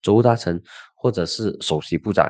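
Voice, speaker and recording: A man's fairly low voice, dry and echo-free, against a quiet background. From Malaysia. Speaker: political commentator and podcast host; political commentator, podcast host. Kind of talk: solo political commentary. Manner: casual, animated. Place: studio. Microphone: studio mic.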